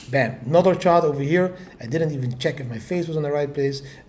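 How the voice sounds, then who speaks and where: Audible room echo follows a man's fairly high voice. His pitch varies in an ordinary way. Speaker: crypto market commentator. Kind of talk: market update video. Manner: animated.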